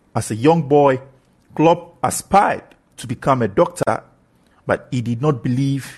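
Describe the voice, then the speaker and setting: A man speaks at a moderate pace in a somewhat breathy, medium-pitched voice with ordinary pitch variation against a quiet background. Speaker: podcast host. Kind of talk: scripted narration, sports podcast. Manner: enthusiastic, formal.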